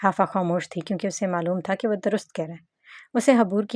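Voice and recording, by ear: Over a quiet background, the speaker is reading aloud in a natural voice.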